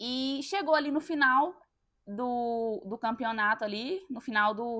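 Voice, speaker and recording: Lively intonation in a woman's high voice. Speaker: podcast host. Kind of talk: personal monologue.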